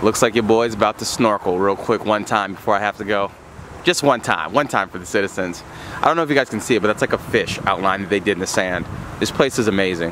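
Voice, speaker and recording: Against noticeable background noise, a man talks at a very fast pace with ordinary pitch variation, the sound dry with no echo. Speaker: travel vlogger. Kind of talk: casual vlog chat. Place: beach. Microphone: phone near.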